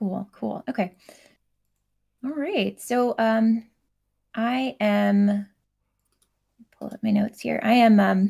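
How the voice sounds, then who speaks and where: A woman speaks at a very slow pace with long, frequent pauses and big swings in loudness. Her somewhat breathy voice has a dark, mellow tone and ordinary pitch variation. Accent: American. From Oregon, US. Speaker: comic creator. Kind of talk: workshop talk. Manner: halting, many fillers.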